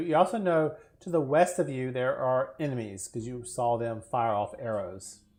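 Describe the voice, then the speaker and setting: A man's voice against a quiet background. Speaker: tabletop game master. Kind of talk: tabletop role-play session.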